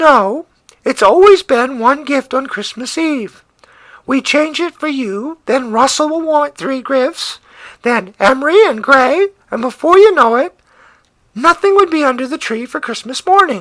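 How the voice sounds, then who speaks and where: Put-on character voice pitched high. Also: moderate pace. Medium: read story.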